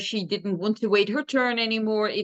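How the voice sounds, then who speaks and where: A woman speaks at medium pitch. She has a Dutch accent. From Netherlands. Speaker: dog trainer. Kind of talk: interview.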